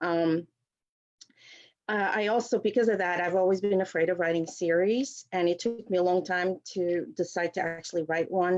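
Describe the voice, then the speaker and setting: A woman with a Portuguese accent, medium pitch and ordinary pitch variation, at a moderate pace with very even loudness. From Portugal. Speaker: novelist. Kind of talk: author talk. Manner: hesitant, many fillers.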